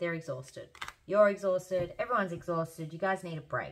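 Noticeable background noise behind a woman at a fairly quick pace, fairly low in pitch, with ordinary pitch variation. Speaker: tarot reader. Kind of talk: tarot reading.

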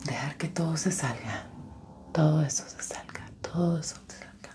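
A woman is whispering. Her tone is soothing. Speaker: ASMR creator. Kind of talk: soft-spoken ASMR roleplay. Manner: soft, soothing ASMR voice. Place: home room.

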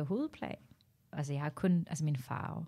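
A woman's voice with a dark, mellow tone. The recording is very clean, with a silent background. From Norway, Tamil Sri Lankan parents. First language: Norwegian (speaking Danish). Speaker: stand-up comedian. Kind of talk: casual chat.

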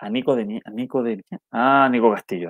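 Speech comes at a moderate pace, the sound dry with no echo and the background quiet. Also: man. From Chile. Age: 30s. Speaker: football commentator and YouTuber; football commentator streamer. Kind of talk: live stream match analysis with chat reading. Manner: halting with frequent repetitions; casual and friendly. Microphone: earbuds.

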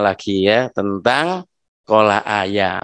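A man's voice against a quiet background. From Gresik, East Java; East Java, Indonesia. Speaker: cultural historian and artist giving a guest lesson; guest. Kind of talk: lecture to schoolchildren. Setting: video call. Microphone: studio mic.

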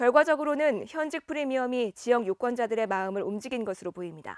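A woman with a high pitch speaks at a moderate pace with lively intonation. The recording is very clean and silent, with a dry, close sound and no echo. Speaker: news announcer. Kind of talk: news broadcast narration.

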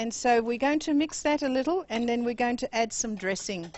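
A woman at a moderate pace, her pitch fairly high, her tone slightly mellow and her intonation lively

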